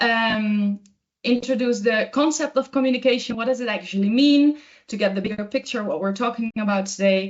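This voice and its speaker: At a moderate pace, a woman with a Dutch accent speaks at a high pitch with ordinary pitch variation. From Netherlands, Amsterdam area. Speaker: communication trainer. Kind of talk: webinar presentation. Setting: online webinar. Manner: hesitant, many filler words.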